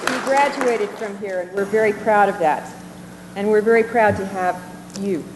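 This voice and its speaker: Noticeable background noise sits behind a woman's voice. She talks at a moderate pace with a fairly high pitch and ordinary pitch variation. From New Jersey (Port Monmouth). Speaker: university interviewer. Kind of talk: interview.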